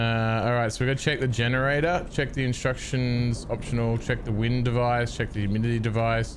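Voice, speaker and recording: A man with an Australian accent speaks at a fairly quick pace in a relaxed tone, his intonation monotone and flat. His loudness stays very even, and there is audible room echo. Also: medium pitch for a man. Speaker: gaming streamer. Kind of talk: live gameplay commentary. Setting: live stream. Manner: casual, relaxed.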